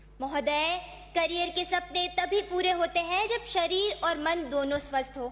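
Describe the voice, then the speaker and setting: The woman's voice is extremely high in pitch, with ordinary pitch variation. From Rajasthan, Pali district. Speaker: youth parliament speaker. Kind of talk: parliamentary speech. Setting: assembly chamber. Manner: formal.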